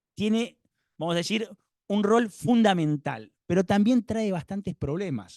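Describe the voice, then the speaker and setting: Dry, close sound with no echo, a man at a moderate speed. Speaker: lawyer and conference speaker. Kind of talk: conference talk. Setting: conference hall with live and online audience. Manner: hesitant, many fillers and repetitions.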